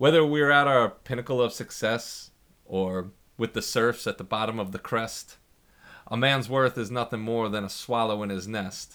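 With ordinary pitch variation, the voice proceeds at a moderate tempo. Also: man, medium pitch for a man. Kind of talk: poem performed, rhythmic spoken-word verse. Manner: impassioned, defiant, protest-like tone.

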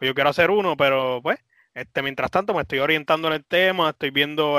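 A fairly high-pitched man in a Puerto Rican accent, his intonation fairly even. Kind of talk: casual chat.

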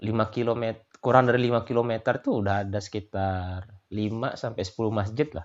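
A man with a normal speaking voice talks at a medium pitch and a fairly slow pace, his intonation fairly even. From Lombok, Indonesia (Sasak). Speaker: migrant worker in Australia. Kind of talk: casual interview chat.

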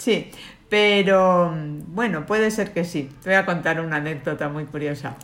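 Speaking in an ordinary speaking voice, a woman goes at a fairly slow pace with a fairly low pitch and ordinary pitch variation. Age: 50s. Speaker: lawyer and cancer survivor. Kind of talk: interview.

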